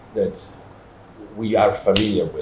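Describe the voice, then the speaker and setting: At a fairly slow pace, a man speaks. He talks in an Italian accent. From Italy. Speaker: musicologist. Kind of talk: talk with live demos. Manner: halting.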